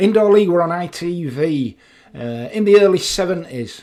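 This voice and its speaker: A high-pitched man with a dark, mellow tone, very wide pitch swings and a moderate pace. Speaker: motorcycle vlogger. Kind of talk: casual talk to camera. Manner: relaxed, conversational.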